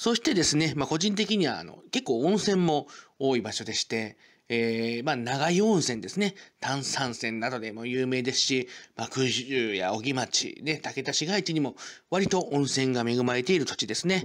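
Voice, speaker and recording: Recorded very cleanly against a silent background, a man speaks at a moderate pace in a medium pitch with very wide pitch swings. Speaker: local culture YouTuber. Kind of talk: informative presentation. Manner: formal, filler-heavy.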